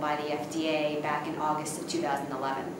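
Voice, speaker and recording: Heard through noticeable background noise and audible room echo, a woman is speaking. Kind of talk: interview answer. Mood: calm, explanatory. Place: hall.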